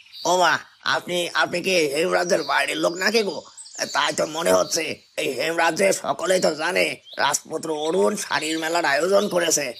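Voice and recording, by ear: Someone uses a cartoonish character voice with ordinary pitch variation, very even loudness and a moderate pace. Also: man, high pitch for a man.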